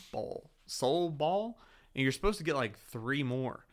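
With a slight Southern US accent, a man talks using ordinary pitch variation. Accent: slight Southern twang. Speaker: podcast co-host. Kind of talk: casual chat. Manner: animated.

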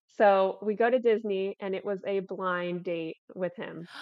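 In an American accent and a normal speaking voice, a woman with a fairly high pitch talks at a fairly slow pace. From Florida. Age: 20s. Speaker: fitness content creator. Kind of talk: casual chat.

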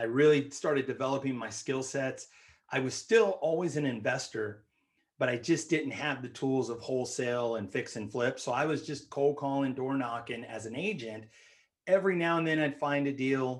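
In an American accent, a man speaks at a moderate pace with a medium pitch and ordinary pitch variation. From San Francisco Bay Area, California. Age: 40s. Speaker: real estate investor and realtor. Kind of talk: interview.

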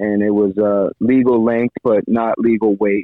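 At a moderate pace, a man speaks with an American accent in monotone, flat intonation. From Miami, Florida. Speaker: fishing captain. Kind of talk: casual interview. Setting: phone call.

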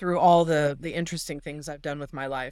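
A woman with a Californian accent is heard on a very clean recording with a silent background. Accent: Californian American. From Los Angeles, San Fernando Valley. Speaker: doctor and tech entrepreneur. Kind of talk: interview.

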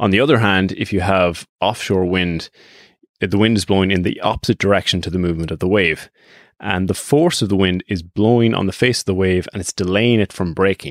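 A man speaks at a fairly quick pace with a northwest Irish accent, his pitch very deep and low with ordinary variation. The sound is dry and close with no echo, on a very clean recording over a silent background. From Ireland, Strandhill, County Sligo. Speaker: podcast host. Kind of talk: scripted narration.

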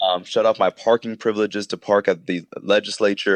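A man's fairly low voice at a fairly quick pace, dry and close with no echo. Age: 20s. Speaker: state legislator. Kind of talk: radio interview. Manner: halting.

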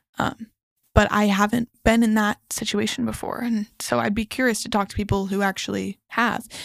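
Recorded with a dry, close sound and no echo, a woman at medium pitch speaks at a moderate pace with fairly even intonation. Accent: American. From Northern California. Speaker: neuropsychology student. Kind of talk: casual chat. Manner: confident.

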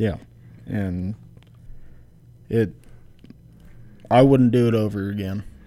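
A man talks at a very slow pace with long, frequent pauses and fairly even intonation. His fairly low voice has a dark, mellow tone. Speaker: former college football player. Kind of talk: casual chat.

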